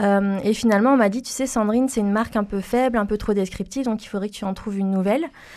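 A woman at a fairly high pitch, very fast pace with hardly any pauses, fairly even intonation, and a quiet background. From France, Toulouse. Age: 30s. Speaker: environmental consultant. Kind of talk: interview. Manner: hesitant, many fillers and repetitions.

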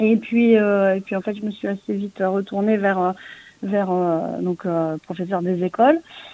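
A woman talks at a fairly slow pace in a plain, everyday voice, at a medium pitch with fairly even intonation. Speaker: comic book writer, former schoolteacher. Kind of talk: interview.

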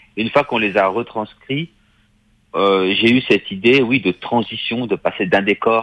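A man's normal speaking voice at medium pitch, with ordinary pitch variation and a quiet background. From Paris, France. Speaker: film director. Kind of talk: interview. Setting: remote line from Paris.

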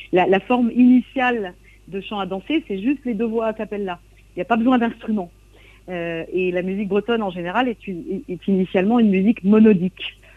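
Fairly quick speech from a woman, medium in pitch, with ordinary pitch variation and an ordinary speaking voice. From Brittany, coastal Trégor. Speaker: singer and songwriter. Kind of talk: radio interview. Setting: remote interview from Brittany.

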